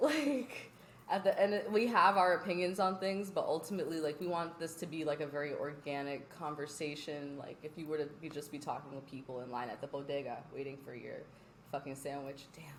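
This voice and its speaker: A woman with an American accent speaks at a fairly quick pace in a very deep, low pitch, with ordinary pitch variation and big swings in loudness. Noticeable background noise and audible room echo are present. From US East Coast, Philadelphia family, Virginia. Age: 20s. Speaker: podcast co-host. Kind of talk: casual chat. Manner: animated.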